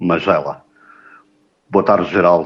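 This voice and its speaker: A man is talking. He keeps his intonation fairly even. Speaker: podcast host. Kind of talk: interview.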